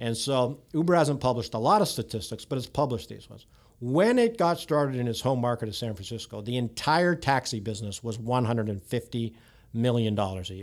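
On a very clean recording with a silent background, a man with an ordinary speaking voice talks at a medium pitch and fairly quick pace, with ordinary pitch variation and big swings in loudness. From Canada, near Toronto. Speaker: technology executive. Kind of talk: podcast interview.

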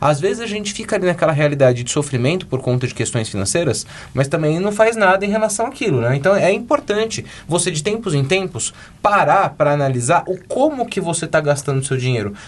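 A man with a high voice talks at a fairly quick clip, his pitch swinging very widely. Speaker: podcast co-host. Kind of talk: casual chat.

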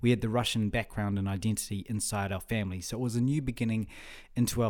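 Speaking very fast with fairly even intonation, a man with a New Zealand accent has a fairly low pitch. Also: very clean recording, silent background. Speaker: podcast host. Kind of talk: solo monologue. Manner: halting, repeats words.

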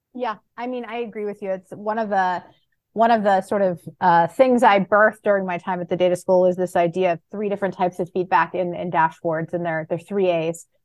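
At a fairly quick pace, a woman talks in an ordinary speaking voice with medium pitch and fairly even intonation. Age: 30s. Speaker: data visualization expert. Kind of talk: casual chat.

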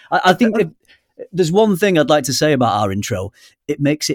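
A man with a British accent speaks with very wide pitch swings. The recording is very clean, dry and close, with no echo and a silent background. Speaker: podcast co-host. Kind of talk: casual chat. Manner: jokey, self-deprecating.

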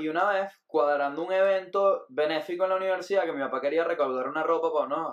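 At a very fast pace, a man speaks in a high pitch. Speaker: comedian. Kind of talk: casual chat.

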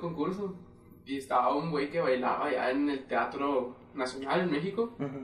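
A man at a fairly high pitch and fairly quick pace, with audible room echo and noticeable background noise. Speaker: podcast co-host. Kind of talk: casual chat.

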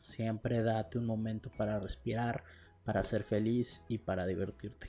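A man's voice over music in the background. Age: 20s. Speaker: podcaster. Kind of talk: casual monologue.

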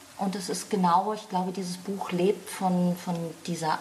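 Amid noticeable background noise, a woman speaks at a moderate pace and a medium pitch with fairly even intonation. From Franconia, Germany (Lohr am Main near Würzburg). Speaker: crime novelist. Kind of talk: casual chat.

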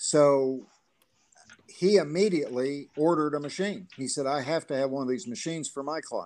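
A man with a Southern US accent speaks in a fairly high pitch. His pace is moderate and his pitch varies in an ordinary way. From Gulf Shores, Alabama. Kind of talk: casual interview.

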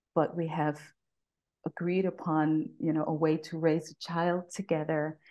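A woman with a New York accent, very deep and low in pitch, monotone and flat, with long, frequent pauses against a quiet background. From New York City (Bronx). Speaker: podcast guest. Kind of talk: casual interview. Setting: video call.

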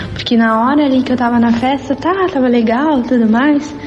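A woman's high voice, with ordinary pitch variation, is heard through noticeable background noise. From southern Brazil, Rio Grande do Sul (Arroio dos Ratos). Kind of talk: testimony.

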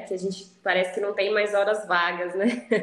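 Over noticeable background noise and audible room echo, a woman speaks at a medium pitch with fairly even intonation. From Campinas area, São Paulo state, Brazil. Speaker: endodontist. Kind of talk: interview conversation.

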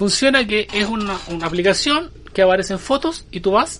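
A man speaks at a high pitch with a Chilean accent. His pace is fairly slow, and his pitch swings very widely. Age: 40s. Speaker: podcast host. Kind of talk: casual chat.

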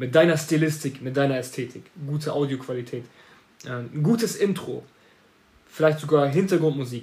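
A man's somewhat breathy, animated voice at a fairly high pitch and moderate pace, with ordinary pitch variation and long, frequent pauses. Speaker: marketing agency owner podcaster. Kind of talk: solo podcast monologue. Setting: home office.

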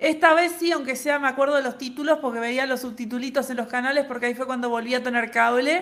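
A woman speaks at a very fast pace in a high pitch with fairly even intonation. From Uruguay. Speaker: podcast co-host. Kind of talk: casual chat.

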